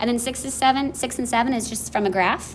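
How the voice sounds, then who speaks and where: Audible room echo colors this woman's voice. Her pitch varies in an ordinary way. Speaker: math teacher. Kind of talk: lecture. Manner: fast.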